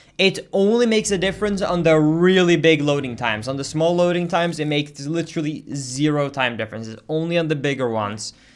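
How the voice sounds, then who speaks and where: Very fast speech with hardly any pauses, lively intonation and a slight Swedish accent. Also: man. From Sweden. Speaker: video game streamer. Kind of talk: casual chat.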